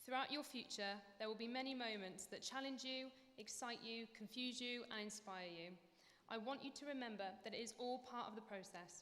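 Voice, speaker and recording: Noticeable background noise sits under a fairly quick pace of speech with ordinary pitch variation. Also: woman. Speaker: dance lecturer. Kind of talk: graduation speech.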